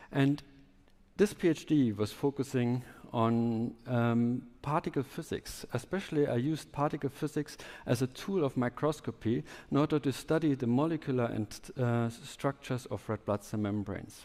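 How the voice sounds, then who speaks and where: In a German accent, a man at a medium pitch talks at a moderate pace with ordinary pitch variation. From southwest Germany. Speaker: biotech entrepreneur, scientist. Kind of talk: conference talk.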